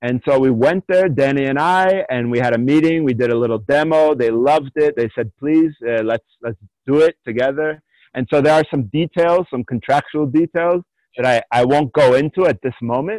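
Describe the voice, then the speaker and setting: A man's fairly high pitch in an American accent, moderate in pace with ordinary pitch variation. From US, Allentown, Pennsylvania. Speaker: war veteran and movement coach. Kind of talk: interview. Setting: remote call from jungle.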